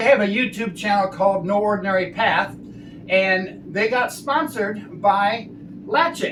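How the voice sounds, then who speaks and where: Over noticeable background noise, a man with a high pitch talks at a moderate pace in an animated tone. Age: 60s. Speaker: RV travel vlogger and ICU travel nurse. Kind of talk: product tutorial.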